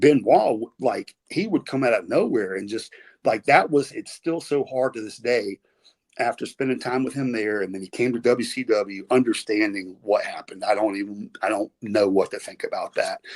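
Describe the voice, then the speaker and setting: In a dry, close sound with no echo, a man with a Southern US accent speaks at a moderate pace. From US South. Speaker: retired pro wrestler. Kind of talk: podcast interview storytelling. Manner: casual, halting.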